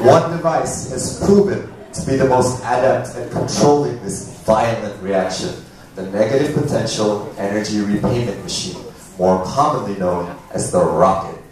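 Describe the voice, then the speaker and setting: Over light background noise and strong room echo, a man speaks at a moderate pace. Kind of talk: performed science talk. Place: stage.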